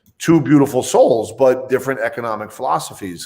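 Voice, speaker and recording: Speaking with a New Jersey accent, a man keeps a fairly quick pace with ordinary pitch variation. The recording is very clean, with a silent background. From New Jersey (Bayonne, Hudson County). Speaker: financial advisor. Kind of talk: interview.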